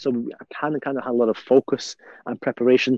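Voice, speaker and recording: In a Liverpool accent, a man with a dark, mellow tone speaks at a moderate pace, the sound dry and close with no echo. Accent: Liverpool (Scouse) English. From England, Liverpool. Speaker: imam and university chaplain. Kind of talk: interview storytelling. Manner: halting, many fillers.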